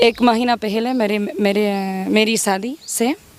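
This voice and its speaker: This woman's voice is fairly high in pitch, with fairly even intonation. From Spain, Madrid. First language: Spanish (speaking Hindi). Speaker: sadhvi, former doctor. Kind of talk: interview. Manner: halting, with fillers.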